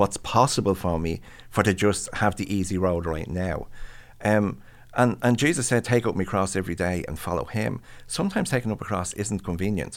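With an Irish accent and an animated tone, a man with a fairly low voice speaks at a moderate pace with ordinary pitch variation, on a very clean recording with a silent background. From Ireland. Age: 60s. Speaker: pastor and mental health professional. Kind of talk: casual interview conversation. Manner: animated, self-deprecating humor.

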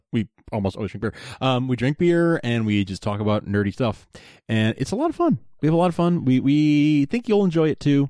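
The man's voice is fairly high in pitch, with a dark, mellow tone. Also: lively intonation, fairly quick pace, very clean recording, silent background. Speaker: podcast host. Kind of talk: casual chat.

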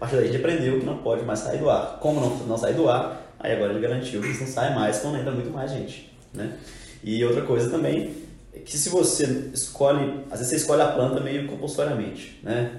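Through audible room echo and noticeable background noise, a man talks at a fairly quick pace with fairly even intonation. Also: medium pitch for a man. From Minas Gerais, Belo Horizonte. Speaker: clothing brand co-founder. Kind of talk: casual chat.

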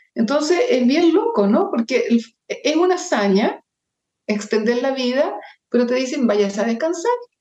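A woman's high-pitched voice with a dark, mellow tone, very wide pitch swings, very even loudness and a fairly slow pace. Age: 70s. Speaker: journalist and social entrepreneur. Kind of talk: interview.

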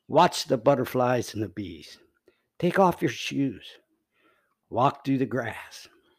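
A man with an American accent, medium-pitched, very slow, with vocal fry, lively intonation, long and frequent pauses, and a very clean recording over a silent background. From United States. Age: 60s. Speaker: father of the host, political commentator. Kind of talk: political monologue.

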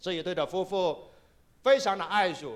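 In a very clean recording with a silent background, a man speaks at a fairly slow pace in a high pitch with ordinary pitch variation. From Kaiping, Guangdong, China. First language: Cantonese (Taishanese/Kaiping) (speaking Chinese). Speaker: pastor. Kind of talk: sermon.

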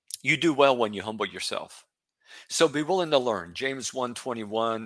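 Over a silent background in a very clean recording, a man with a bright, sharp tone speaks at a moderate pace with ordinary pitch variation. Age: 60s. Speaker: bible teacher podcast host. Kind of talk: solo religious talk. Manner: casual, conversational.

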